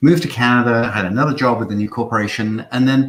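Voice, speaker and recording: This man talks very fast with a British accent. His pitch is medium and his voice somewhat breathy. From Isle of Man. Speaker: marketing agency founder. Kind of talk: webinar talk. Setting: online livestream.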